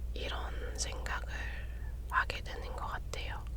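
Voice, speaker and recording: Soft-spoken whispering at a very slow pace, over noticeable background noise. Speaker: ASMR creator. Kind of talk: ASMR whisper talk about personality type. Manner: whispered, soft-spoken.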